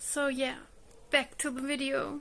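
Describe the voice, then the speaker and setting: A woman speaks in a high voice with a German accent. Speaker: book vlogger. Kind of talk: casual video monologue.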